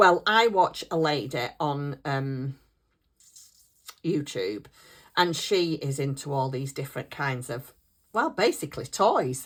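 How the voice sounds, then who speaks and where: With a northern English accent, a woman talks very slowly at a very deep, low pitch, pausing long and often. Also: lively intonation. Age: 60s. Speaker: craft YouTuber. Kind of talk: casual chat. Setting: at home desk. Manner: chatty.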